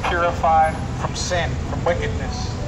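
A man talks at a moderate pace, and loud noise runs in the background. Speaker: street preacher. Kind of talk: sermon. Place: street.

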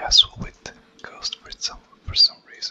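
A whisper at a fairly slow pace. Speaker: ASMR content creator. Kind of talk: ASMR gameplay commentary. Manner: whispered, soft. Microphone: studio mic.

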